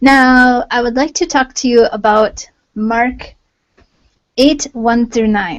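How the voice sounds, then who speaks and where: A woman speaks softly. Her pitch is high. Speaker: online Bible teacher. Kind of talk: devotional talk on a livestream. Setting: live video hangout. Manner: soft-spoken. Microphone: volume turned up, voice may be quiet.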